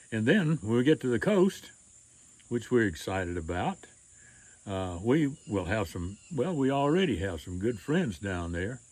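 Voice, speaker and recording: A man's medium-pitched voice at a fairly slow pace, with very wide pitch swings. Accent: Mississippi. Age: 80s+. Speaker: retired storyteller and author. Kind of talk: casual personal announcement to camera.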